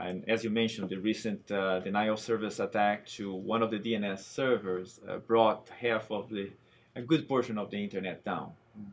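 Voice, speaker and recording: At a moderate pace, a man with a fairly low voice keeps his intonation fairly even while his loudness swings widely. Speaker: technology architect. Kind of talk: interview. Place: studio.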